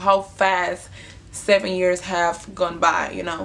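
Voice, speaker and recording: A woman at medium pitch with a Honduran accent, over noticeable background noise. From Honduras. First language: Spanish. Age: 20s. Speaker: vlogger. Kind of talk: casual storytelling. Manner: casual, filler-heavy.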